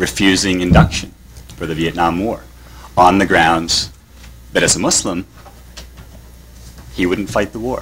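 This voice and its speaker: Very deep, low-pitched man with a Canadian accent, at a moderate pace with long, frequent pauses, over noticeable background noise. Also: ordinary pitch variation. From Canada. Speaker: professor of religious studies. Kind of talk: conference talk. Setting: conference panel with audience.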